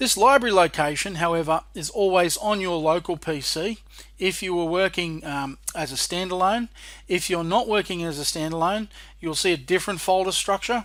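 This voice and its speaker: On a very clean recording with a silent background, a man with an Australian accent speaks at a high pitch. His pace is moderate and his pitch variation ordinary. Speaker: software trainer and developer. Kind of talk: tutorial.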